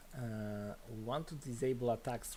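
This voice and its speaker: A man speaks at a fairly low pitch with a dark, mellow tone. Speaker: game developer streaming. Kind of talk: live coding stream. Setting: live stream. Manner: mumbling.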